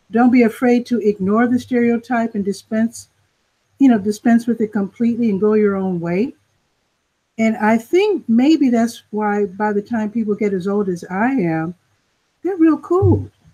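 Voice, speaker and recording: Somewhat breathy and dark, mellow in tone, a woman speaks at a moderate pace in a fairly high pitch with ordinary pitch variation. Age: 60s. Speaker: panelist. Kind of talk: panel discussion.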